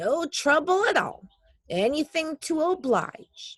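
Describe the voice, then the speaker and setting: Pitched high, a put-on character voice moves at a fairly slow pace. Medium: read story.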